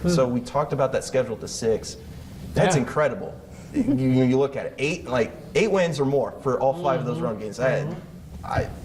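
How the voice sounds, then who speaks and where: Fairly quick speech from a man at medium pitch, lively intonation, over noticeable background noise. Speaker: sports news anchor. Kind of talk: casual on-air banter with co-anchor.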